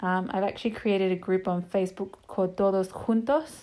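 Speaking in an Australian accent, a woman has a dark, mellow tone, medium pitch with ordinary pitch variation, and a moderate pace. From Sydney, Australia. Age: 20s. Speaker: social media page admin and podcaster. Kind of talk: casual monologue. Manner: casual, rambling with many fillers.

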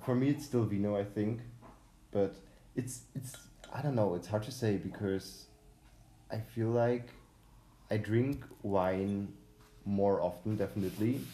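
A man with a German accent, fairly low in pitch, at a fairly slow pace with long, frequent pauses. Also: ordinary pitch variation. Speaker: podcast host. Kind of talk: solo podcast intro; casual chat. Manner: hesitant, many fillers.

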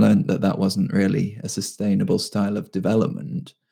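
A man talks at a fairly quick pace with a British accent and a fairly low pitch. His tone is dark and mellow, with vocal fry. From UK. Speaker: freelance web developer. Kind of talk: casual chat.

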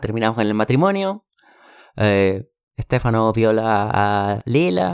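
Over a silent background in a very clean recording, a man speaks very slowly at medium pitch. His intonation is fairly even, his loudness very even, and the sound dry and close with no echo. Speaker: podcast host, book club. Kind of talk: casual chat.

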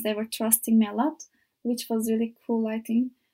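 A woman speaks with a Turkish accent at a fairly high pitch, somewhat breathy, with a dark, mellow tone. The recording is very clean, with a silent background. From Turkey, Izmir. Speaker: volunteer. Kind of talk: interview. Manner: halting.

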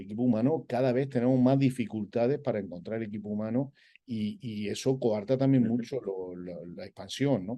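A man with a dark, mellow tone and medium pitch, ordinary pitch variation and big swings in loudness, over a quiet background. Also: moderate pace. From Spain, Andalusia (Granada). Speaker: olive oil company executive. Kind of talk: interview. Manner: halting, with repetitions.

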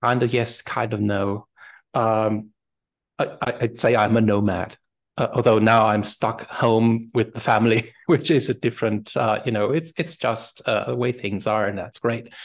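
At a fairly slow pace, a man with a German accent speaks at a medium pitch with fairly even intonation over a quiet background. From Germany. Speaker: type designer. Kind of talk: interview. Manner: halting.

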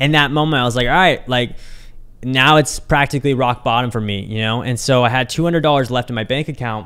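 An ordinary speaking voice from a man with an American accent, at a medium pitch, with ordinary pitch variation and a fairly quick pace. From Kansas City area, US Midwest. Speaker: entrepreneur podcast host. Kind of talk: solo podcast monologue. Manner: casual, many filler words.

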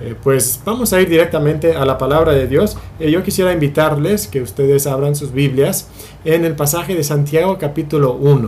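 The recording has audible room echo and noticeable background noise. The speech moves at a moderate pace. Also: man, fairly high pitch for a man, ordinary pitch variation. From Spain. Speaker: pastor. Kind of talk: sermon. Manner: halting.

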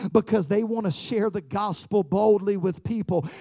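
A man speaks in an animated tone at a moderate pace. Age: 30s. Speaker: pastor. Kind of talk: sermon. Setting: church.

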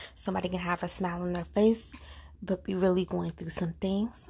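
A woman's somewhat breathy voice moves at a fairly quick pace, her intonation fairly even. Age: 20s. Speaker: podcast host. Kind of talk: casual monologue.

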